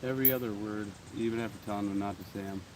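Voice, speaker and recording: A man speaks very fast with fairly even intonation. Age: 40s. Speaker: coin collecting vlogger. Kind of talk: casual vlog chat. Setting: outdoors. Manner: casual, halting with fillers.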